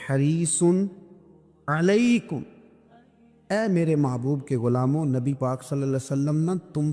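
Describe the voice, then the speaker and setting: With music in the background, a man speaks at a fairly high pitch with ordinary pitch variation. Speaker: Islamic preacher. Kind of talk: religious sermon (bayan) to an audience.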